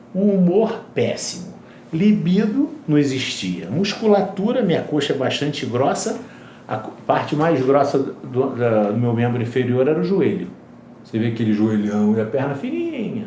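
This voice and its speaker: A man at a fairly high pitch makes very wide pitch swings at a moderate pace. Audible room echo and noticeable background noise fill the recording. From Brazil, Rio de Janeiro. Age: 60s. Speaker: regenerative medicine specialist. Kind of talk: interview.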